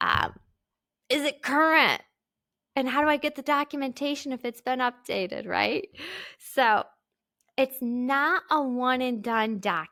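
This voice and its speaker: On a very clean recording with a silent background and a dry, close sound with no echo, a woman uses a raised, projected voice that is high-pitched, bright, sharp and animated, with long, frequent pauses. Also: ordinary pitch variation. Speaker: podcast host. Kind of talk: solo podcast tutorial.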